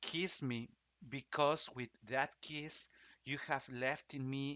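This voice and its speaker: A man speaks in a Spanish accent. His intonation stays fairly even. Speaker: opera singer. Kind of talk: casual explanatory talk. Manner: halting, many restarts and fillers.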